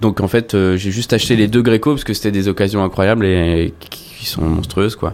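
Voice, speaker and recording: At a fairly quick pace with hardly any pauses, a man speaks at a fairly low pitch in an unremarkable speaking voice. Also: ordinary pitch variation. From France, La Rochelle. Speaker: rock guitarist. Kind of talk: casual interview chat. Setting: studio.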